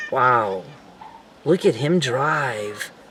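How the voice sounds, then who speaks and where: A soft-spoken man in a put-on character voice at medium pitch. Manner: sleepy, mumbling.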